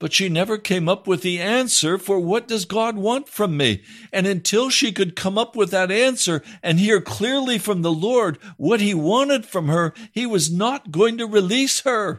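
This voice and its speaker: A man with a high pitch speaks at a moderate pace. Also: ordinary pitch variation, very clean recording, silent background. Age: 70s. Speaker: pastor and radio preacher. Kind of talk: radio sermon.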